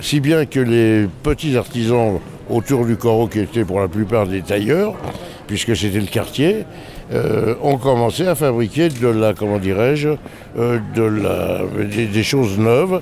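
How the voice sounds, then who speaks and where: Noticeable background noise sits behind a man speaking at a very slow pace. His medium pitch shows ordinary variation, and his loudness stays very even. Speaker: novelist and former couturier. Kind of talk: interview. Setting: book fair. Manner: halting.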